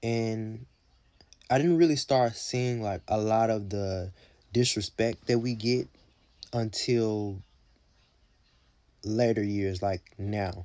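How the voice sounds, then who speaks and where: Long, frequent pauses break a man's very slow delivery. His medium-pitched voice has a dark, mellow tone and ordinary pitch variation. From US South, Mississippi. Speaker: content creator in media and entertainment. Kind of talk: casual vlog commentary. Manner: conversational with fillers.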